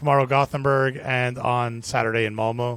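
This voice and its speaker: In a Miami accent, a man talks at a medium pitch with monotone, flat intonation. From US, Miami. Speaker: brewery brand ambassador. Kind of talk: casual interview.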